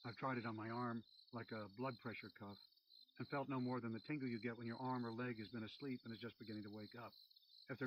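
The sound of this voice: Fairly even in intonation, this is an unforced reading voice.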